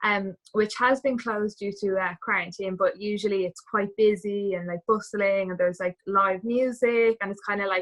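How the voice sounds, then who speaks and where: A Dublin accent with hardly any pauses. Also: woman, medium pitch for a woman, fairly even intonation, moderate pace. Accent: Irish, Dublin. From Ireland, Dublin. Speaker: travel community member, former cruise ship dancer. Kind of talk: casual interview chat.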